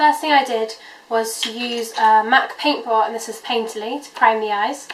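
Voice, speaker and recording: With a British accent, a woman speaks at a moderate pace in a fairly high pitch, her intonation fairly even but her loudness swinging widely, amid noticeable background noise and audible room echo. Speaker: beauty vlogger. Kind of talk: makeup tutorial. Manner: casual, many 'um' fillers.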